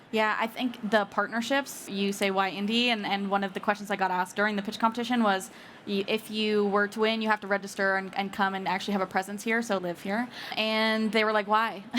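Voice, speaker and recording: Her intonation monotone and flat, a woman speaks at a fairly quick pace with a medium pitch. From Canada. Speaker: startup CEO and co-founder. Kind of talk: casual interview. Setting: live recording at a conference.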